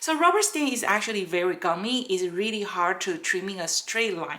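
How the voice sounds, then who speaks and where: Intonation is lively, at a moderate pace, with a non-native accent. The background is quiet. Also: woman. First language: not English. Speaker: rubber stamp maker and craft tutor; craft tutor. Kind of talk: craft tutorial. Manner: halting, many fillers. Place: workshop.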